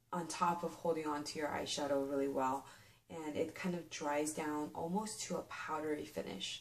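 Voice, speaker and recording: The pace is moderate. Pitch rises and falls by an ordinary amount. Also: woman. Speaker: beauty vlogger. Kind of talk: product review. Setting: filmed late at night. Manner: casual, filler-heavy.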